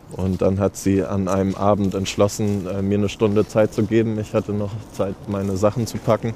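A man delivers his words at a moderate pace with monotone, flat intonation. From Germany, Hamburg. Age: 30s. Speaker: founder of a shower bus for homeless people. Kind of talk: interview.

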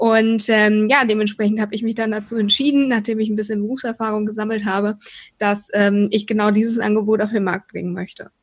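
The voice is somewhat breathy, with monotone, flat intonation. Delivery comes at a fairly quick pace. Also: woman, fairly high pitch for a woman. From Rhineland, Germany. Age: 20s. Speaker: PR consultant and mentor. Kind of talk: podcast interview.

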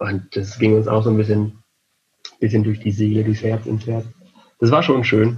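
A man speaks at a fairly low pitch in a somewhat breathy, monotone voice with flat intonation. His pace is moderate, broken by long, frequent pauses. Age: 30s. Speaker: event technician and lecturer. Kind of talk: interview.

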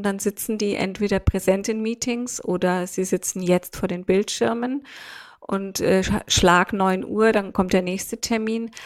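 An unremarkable speaking voice moves at a fairly slow pace with fairly even intonation. The recording is very clean, with a silent background. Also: woman, medium pitch for a woman. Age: 50s. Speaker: leadership consultant and author. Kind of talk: podcast interview.

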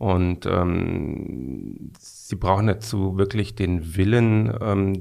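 A man speaks with a fairly low pitch. His voice shows ordinary pitch variation. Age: 50s. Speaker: management consultant. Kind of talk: interview. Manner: halting, many fillers.

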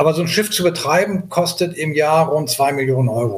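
A man's pitch moves in an ordinary way as he speaks at a moderate pace. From Hamburg, northern Germany. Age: 60s. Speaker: sea rescue activist. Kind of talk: interview. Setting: remote call. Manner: halting, many fillers.

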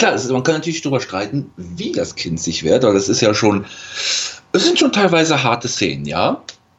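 Noticeable background noise accompanies a man at medium pitch. He talks at a fairly quick pace with very wide pitch swings. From western Germany (Rhineland). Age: 20s. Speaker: podcast guest. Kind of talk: casual chat.

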